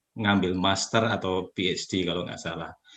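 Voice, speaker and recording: The voice carries a bright, sharp tone and a Javanese accent. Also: man. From Java, Yogyakarta. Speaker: community leader. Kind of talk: interview. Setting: video call.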